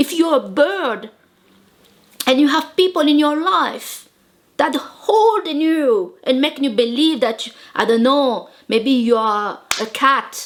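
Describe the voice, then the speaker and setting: A woman with a French accent speaks very slowly at a high pitch, her intonation lively. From Madagascar. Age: 40s. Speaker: life coach. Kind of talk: motivational talk. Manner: animated.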